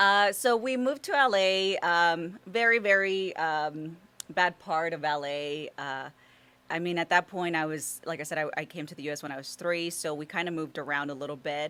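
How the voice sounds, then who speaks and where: A woman speaks at a moderate pace in a fairly low pitch, with ordinary pitch variation. Her tone is bright and sharp, and her loudness swings widely. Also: very clean recording, silent background. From Los Angeles (Compton), US; born in Mexico. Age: 40s. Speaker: golf instructor and social media personality. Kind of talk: interview. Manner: halting, many fillers.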